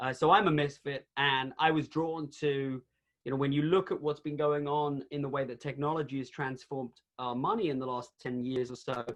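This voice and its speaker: With an American accent, a man speaks in an unremarkable speaking voice at a moderate pace, fairly high in pitch with fairly even intonation. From outside the US. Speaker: author and company CEO. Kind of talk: webinar interview. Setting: video call. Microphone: audio cutting in and out.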